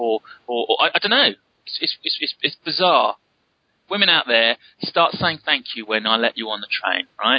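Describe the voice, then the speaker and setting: A man speaks at a moderate pace with a fairly high pitch and vocal fry. His pitch swings very widely. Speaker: podcast host. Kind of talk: casual chat. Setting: remote call.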